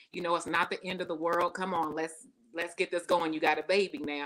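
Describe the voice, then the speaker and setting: A woman speaks with a Southern US accent in a bright, sharp tone on a very clean recording with a silent background. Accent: Southern US twang, often taken for Texas. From not from the US South. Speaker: personal success speaker and coach. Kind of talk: interview conversation. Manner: talkative.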